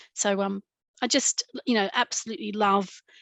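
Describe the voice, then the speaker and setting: A woman's fairly slow speech in an Australian accent, medium pitch and fairly even intonation. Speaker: midwife and lactation lecturer. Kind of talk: interview.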